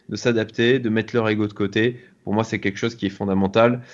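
A man talks at a fairly quick pace in a fairly low pitch, his intonation monotone and flat. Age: 40s. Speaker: business angel investor. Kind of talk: interview. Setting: video call. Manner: hesitant, many fillers.

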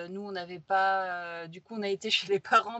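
The speaker is a woman at a medium pitch. She talks at a fairly slow pace. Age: 30s. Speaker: graphic designer and illustrator. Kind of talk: casual interview. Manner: hesitant, many fillers.

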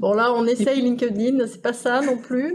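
With noticeable background noise, a woman talks at a fairly slow pace in a high pitch. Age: 40s. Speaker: insurance team manager. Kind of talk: casual interview.

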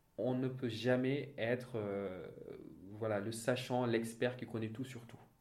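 With audible room echo, a man of medium pitch speaks very slowly in a monotone, flat way, his loudness swinging widely. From Senegal (Thiès). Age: 30s. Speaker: audit and finance manager. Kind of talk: interview. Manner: halting, many repetitions and fillers.

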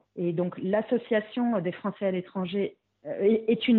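A woman with a plain, everyday voice, fairly high in pitch, with ordinary pitch variation. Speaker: expatriate mother. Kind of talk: interview testimony.

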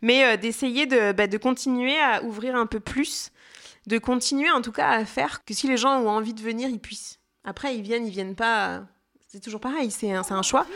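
A woman's fairly high voice at a moderate pace, with ordinary pitch variation and big swings in loudness, in a very clean recording with a silent background. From France, Jura. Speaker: festival audience relations manager. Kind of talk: interview testimony. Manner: hesitant, many fillers.

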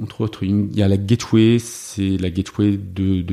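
A man's fairly low voice, dark and mellow, with monotone, flat intonation. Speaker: software developer and open source project founder. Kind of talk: interview.

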